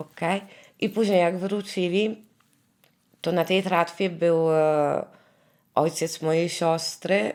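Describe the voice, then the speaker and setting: A woman with a fairly low voice talks at a very slow pace, leaving long, frequent pauses, her loudness very even and her intonation fairly even. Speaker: survivor's relative. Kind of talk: interview testimony. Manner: halting, searching for words.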